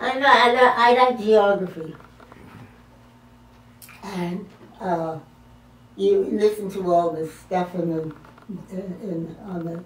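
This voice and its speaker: This woman talks at a very slow pace in a fairly low pitch, with ordinary pitch variation. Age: 80s+. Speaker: retired army officer and WWII veteran. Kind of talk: interview answer. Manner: hesitant, halting.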